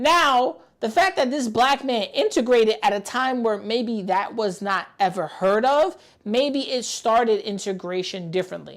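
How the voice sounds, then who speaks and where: A woman in a New York accent, fairly high-pitched, with lively intonation and a moderate pace. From New York City, the Bronx. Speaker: gaming and pop culture streamer. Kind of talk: live stream reaction commentary.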